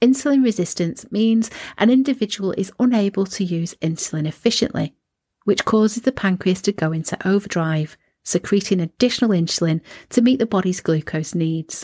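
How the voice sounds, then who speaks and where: A woman with a British accent speaks at a medium pitch and a fairly quick pace, her intonation lively and her tone dark and mellow. The recording is very clean, dry and close, with a silent background and no echo. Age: 50s. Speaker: wellness podcast host. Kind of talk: solo podcast monologue, partly scripted.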